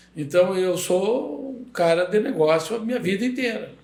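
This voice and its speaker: There is audible room echo as a man speaks with lively intonation. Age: 70s. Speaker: construction company owner. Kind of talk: podcast interview.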